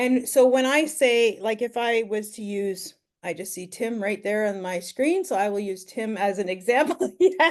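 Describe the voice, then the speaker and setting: A normal speaking voice with a Canadian accent runs at a moderate pace with hardly any pauses, lively intonation, and big swings in loudness. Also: woman, fairly high pitch for a woman. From Ontario, Canada. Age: 50s. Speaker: online business mentor. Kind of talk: mentoring Q&A.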